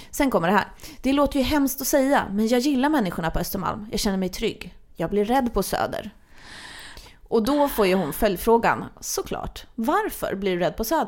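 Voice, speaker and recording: A woman speaks in an ordinary speaking voice at a moderate pace. Her pitch is fairly high, with lively intonation. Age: 20s. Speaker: podcast host. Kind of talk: casual chat.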